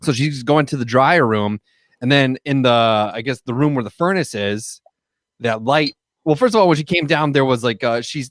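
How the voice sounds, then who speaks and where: In a Wisconsin accent, a man speaks with ordinary pitch variation. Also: medium pitch for a man, moderate pace, dry, close sound with no echo. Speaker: podcast co-host. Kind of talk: casual chat. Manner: halting, many fillers.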